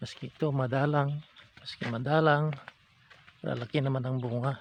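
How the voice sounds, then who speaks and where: Here a man speaks at medium pitch and a moderate pace. His intonation is monotone and flat. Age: 70s. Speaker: farmer. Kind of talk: casual vlog talk to camera. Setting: outdoors.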